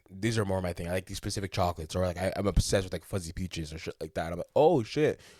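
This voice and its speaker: The very clean recording has a silent background. A man talks at a very deep, low pitch with ordinary pitch variation. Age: 20s. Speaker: podcast host. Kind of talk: casual chat. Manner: fast.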